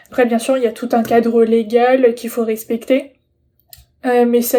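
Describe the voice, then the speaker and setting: Speaking at a moderate pace, a woman with a high pitch and a dark, mellow tone keeps a monotone, flat intonation. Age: 20s. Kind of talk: personal presentation. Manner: hesitant, many fillers.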